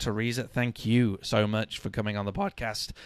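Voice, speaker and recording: At a moderate pace, a man with a British accent speaks at a fairly low pitch on a very clean recording with a silent background. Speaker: podcast host. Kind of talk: live stream wrap-up. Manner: casual, chatty.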